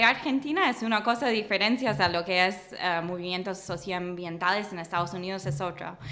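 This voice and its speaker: A woman's medium-pitched voice with an English accent and ordinary pitch variation. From US Midwest, Michigan. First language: English (speaking Spanish). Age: 20s. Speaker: political scientist, doctoral student; guest. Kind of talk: interview. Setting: studio. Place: studio. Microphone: studio mic.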